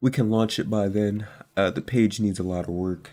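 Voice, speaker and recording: A man's dark, mellow voice moves with fairly even intonation. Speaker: trading YouTuber and mentor. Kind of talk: casual vlog update. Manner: scattered, hesitant.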